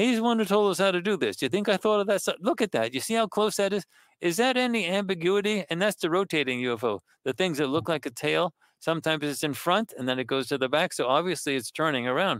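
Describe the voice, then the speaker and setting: A man's high voice, animated and very fast, with very wide pitch swings and very even loudness, on a very clean recording with a silent background. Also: dry, close sound with no echo. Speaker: professor, remote viewing researcher. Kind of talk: interview. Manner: talkative, animated.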